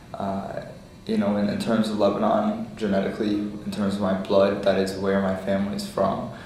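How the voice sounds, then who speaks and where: A man speaks at a moderate pace in a flat, monotone delivery. Room echo is audible, with noticeable background noise. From United States. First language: Lebanese Arabic. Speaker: oral history interviewee. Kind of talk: interview.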